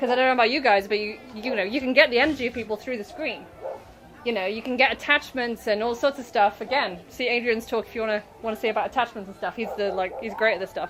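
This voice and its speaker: The speaker goes at a very fast pace with ordinary pitch variation and big swings in loudness, over noticeable background noise. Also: woman, fairly high pitch for a woman. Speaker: author and spiritual self-help speaker. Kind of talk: workshop talk. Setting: stage with audience at a festival. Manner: casual, rambling.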